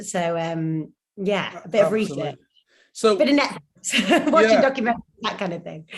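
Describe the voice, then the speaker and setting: A woman with a northern English accent talks at a fairly quick pace, with big swings in loudness. Her pitch swings very widely. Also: medium pitch for a woman. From Northern England. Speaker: actor and presenter. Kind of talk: interview answer.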